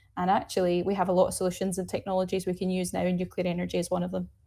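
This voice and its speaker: A woman speaks very fast with a Glaswegian accent, her tone dark and mellow with vocal fry. The recording is very clean, with a silent background. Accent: Glaswegian Scottish. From Scotland, Glasgow. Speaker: nuclear energy advocate, climate campaign co-lead. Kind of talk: interview. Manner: animated.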